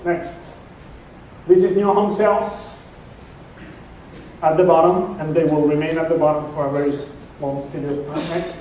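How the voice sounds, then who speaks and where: The room echo is audible and background noise noticeable. Over it, a man speaks at a moderate pace with a fairly high pitch and fairly even intonation. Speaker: economist giving a market outlook talk. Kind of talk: presentation to audience with slides.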